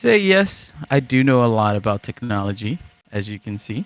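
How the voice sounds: At a moderate pace, this voice moves through big swings in pitch. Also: man, fairly low pitch for a man.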